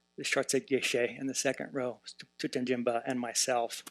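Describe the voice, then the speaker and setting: A man with an American accent talks at a moderate pace. His intonation is monotone and flat. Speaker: professor of Tibetan Buddhism, translator. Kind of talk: conference panel talk. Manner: many filler words (uh, um).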